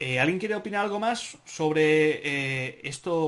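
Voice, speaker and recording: A man's voice with ordinary pitch variation. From Spain, Barcelona. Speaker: podcast host, Spanish teacher. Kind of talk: moderated group discussion. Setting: video conference. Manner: animated.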